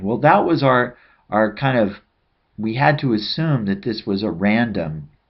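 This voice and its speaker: Lively intonation runs through a man's speech, which has an ordinary speaking voice and a medium tempo. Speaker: statistics teacher. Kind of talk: tutorial.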